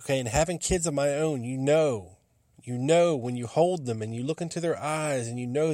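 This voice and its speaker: Speaking at a moderate pace, a man has a fairly high pitch, a dark, mellow tone and ordinary pitch variation. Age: 40s. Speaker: podcast host. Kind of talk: casual monologue. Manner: animated.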